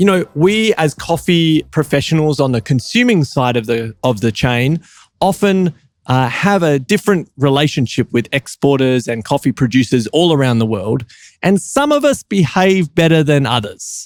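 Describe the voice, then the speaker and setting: Keeping a moderate pace and very even loudness, a man with a plain, everyday voice speaks at a fairly high pitch with lively intonation. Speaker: coffee competition judge and podcast host. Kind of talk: podcast interview host talk.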